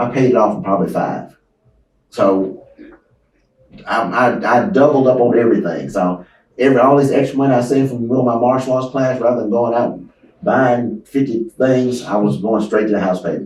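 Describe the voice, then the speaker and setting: In an American accent, a man speaks at a moderate pace with a normal speaking voice. His pitch is medium, with ordinary pitch variation. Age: 60s. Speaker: real estate investor and martial arts instructor. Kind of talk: interview. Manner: conversational.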